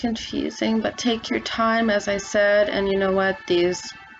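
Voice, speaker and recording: With music playing behind her, a woman speaks in a monotone, flat intonation. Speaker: craft instructor. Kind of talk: tutorial.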